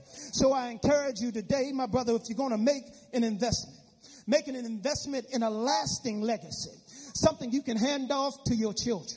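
An animated man with an extremely high pitch speaks at a fairly quick pace against noticeable background noise. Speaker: preacher. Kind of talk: sermon. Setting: church. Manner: animated, exhorting the congregation in call-and-response.

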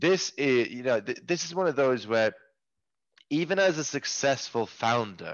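A man of medium pitch with a Norwegian accent, very wide pitch swings and a fairly slow pace. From rural Norway. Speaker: tech company CEO. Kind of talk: podcast interview. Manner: halting, with many repeated words.

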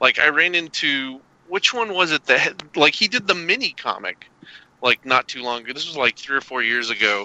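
A man's fairly high voice in a Southern US accent, lively in intonation and fairly quick in pace. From US South (Arkansas and Kentucky). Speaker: cartoonist. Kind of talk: casual chat.

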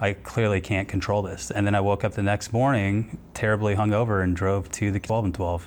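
A man with an American accent has a plain, everyday voice and a fairly low pitch. He talks at a fairly quick pace with hardly any pauses, very even loudness and fairly even intonation. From Texas, Houston. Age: 30s. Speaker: airline pilot in recovery. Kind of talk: personal testimony interview.

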